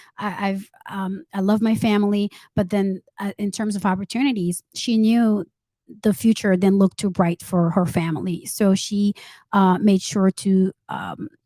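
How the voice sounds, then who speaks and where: A woman's medium-pitched voice, dark and mellow in tone, with fairly even intonation and a moderate pace, in a very clean, silent recording with a dry, close sound and no echo. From Saint Martin, Haitian parents; moved to US at 14. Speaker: entrepreneur and author. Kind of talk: interview. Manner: halting, many fillers.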